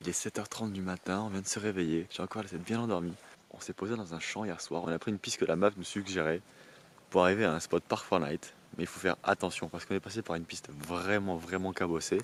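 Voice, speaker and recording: With fairly even intonation, a man with a very deep, low pitch talks at a very fast pace. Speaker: travel vlogger. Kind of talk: casual vlog talk. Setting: outdoors in a field by a camper van. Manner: soft-spoken.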